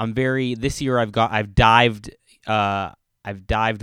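A man with a fairly low voice is heard in a very clean recording against a silent background. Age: 30s. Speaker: realtor. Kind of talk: casual chat.

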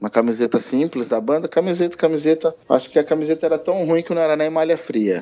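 With hardly any pauses, a man talks very fast at a fairly high pitch with ordinary pitch variation. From Brazil, Ribeirão Preto, São Paulo interior. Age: 30s. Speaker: band conductor and association president. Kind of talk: casual interview.

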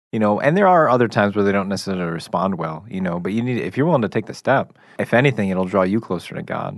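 The speaker has an American accent and ordinary pitch variation. The pace is very fast, over a quiet background. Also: man. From Chicago area. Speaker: camp program director. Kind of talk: faith discussion on radio.

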